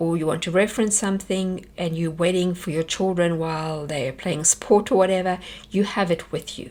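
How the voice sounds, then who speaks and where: A woman with a South African accent talks at a fairly quick pace with ordinary pitch variation. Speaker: homeschool teacher. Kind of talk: workshop presentation.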